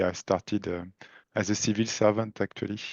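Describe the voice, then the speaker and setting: The man's voice sits fairly low. Every line comes out in a monotone, flat intonation. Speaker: statistics professor. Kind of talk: casual interview.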